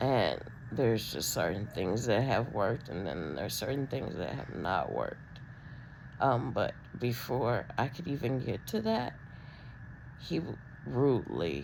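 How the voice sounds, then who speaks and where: A woman with a very deep, low pitch and vocal fry speaks at a fairly slow pace with long, frequent pauses. Her pitch swings very widely, and audible room echo can be heard. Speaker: vlogger with spinal disc disease. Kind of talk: personal video diary. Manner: halting, many ums.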